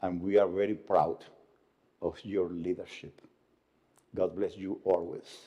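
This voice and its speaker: A man with a Spanish accent speaks at a fairly slow pace, leaving long, frequent pauses. His very deep, low pitch has a dark, mellow tone and a monotone, flat intonation. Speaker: pastor. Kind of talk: formal tribute speech. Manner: formal.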